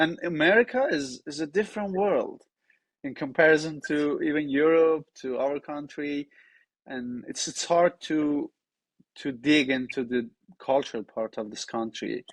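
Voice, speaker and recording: With a Persian accent, a man talks at a fairly slow pace in a fairly high voice with ordinary pitch variation, the sound dry and close with no echo. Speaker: podcast host. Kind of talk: interview.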